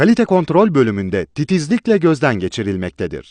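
The pitch leaps up and down widely at a fairly quick pace. The sound is dry and close with no echo, over a quiet background. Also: man. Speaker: voice-over artist. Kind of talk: corporate promotional film narration. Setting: studio.

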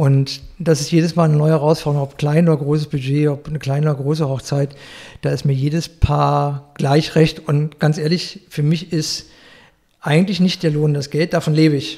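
Somewhat breathy with a dark, mellow tone, a man speaks at a fairly high pitch and a moderate pace in a monotone, flat intonation. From Berlin, Germany. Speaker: florist. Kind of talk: interview. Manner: hesitant, many fillers.

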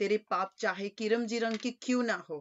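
Very slowly, a woman gets her words out. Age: 40s. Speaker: preacher. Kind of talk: sermon. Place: home room. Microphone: webcam.

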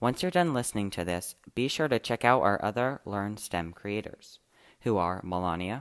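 Against a quiet background, a man with a fairly low pitch uses an ordinary speaking voice and lively intonation. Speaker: student podcast host. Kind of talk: podcast narration.

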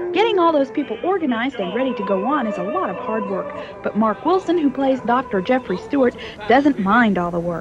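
With music in the background, a high-pitched woman talks at a fairly quick pace with very wide pitch swings. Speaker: TV news reporter. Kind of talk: TV news report.

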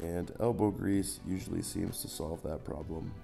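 The intonation is lively. Music plays in the background. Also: man. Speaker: hobby woodworker. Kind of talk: DIY tutorial narration. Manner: dry, joking.

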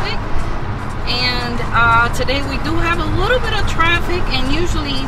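A woman speaks at a fairly slow pace with a dry sound and no echo. Loud music plays in the background. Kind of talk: casual vlog chat. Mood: excited, cheerful. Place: car. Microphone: phone near.

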